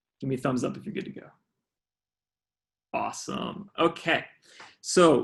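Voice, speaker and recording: Here a man speaks with an American accent and ordinary pitch variation. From US South, Georgia. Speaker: fundraising trainer. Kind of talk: online training workshop. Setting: video call. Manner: fast.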